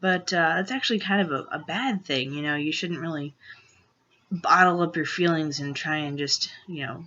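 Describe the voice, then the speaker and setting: Moderate pace with ordinary pitch variation. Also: man, high pitch for a man. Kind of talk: personal vlog. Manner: hesitant, many fillers.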